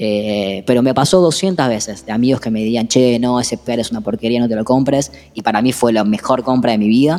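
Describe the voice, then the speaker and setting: Talking at a fairly quick pace with hardly any pauses, a man with a Rioplatense accent uses a medium pitch and ordinary pitch variation. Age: 30s. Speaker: musician. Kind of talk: interview.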